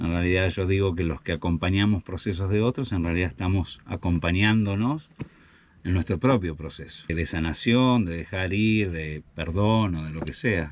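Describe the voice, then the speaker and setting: Very deep, low male voice with ordinary pitch variation, at a moderate pace. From Argentina, Buenos Aires province (Chascomús). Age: 60s. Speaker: family constellations facilitator and guesthouse owner. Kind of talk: interview.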